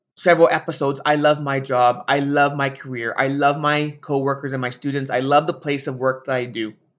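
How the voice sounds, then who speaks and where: Against a quiet background, a man with a fairly high pitch speaks at a moderate pace in an unremarkable speaking voice. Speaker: teacher and podcast host. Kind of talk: solo podcast monologue.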